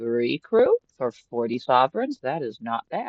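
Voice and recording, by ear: Natural-voiced reading aloud, the background quiet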